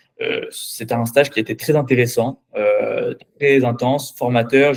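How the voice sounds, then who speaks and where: A man talks with monotone, flat intonation. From France, Paris. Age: 20s. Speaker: finance professional. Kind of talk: mock job interview. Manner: halting, many filler sounds and repetitions.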